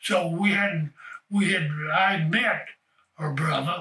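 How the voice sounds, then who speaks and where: Fairly even intonation marks this man's high-pitched voice. He speaks with a Southern US accent. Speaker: retired baseball player and coach. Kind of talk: life story interview. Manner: halting.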